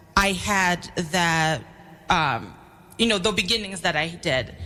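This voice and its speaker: A woman speaks with an American accent. Music plays in the background. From New York City. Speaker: school secretary and parent. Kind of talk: radio interview.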